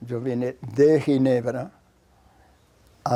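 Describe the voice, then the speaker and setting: A man talks in a medium-pitched voice. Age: 90s. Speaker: scientist and professor. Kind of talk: documentary interview.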